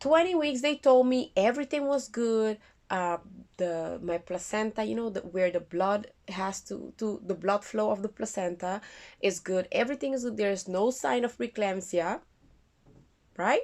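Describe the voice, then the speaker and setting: A woman with a non-native accent, fairly high pitch and lively intonation, at a moderate pace over a quiet background. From Curaçao. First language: not English. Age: 30s. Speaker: vlogger. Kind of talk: casual vlog. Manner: halting.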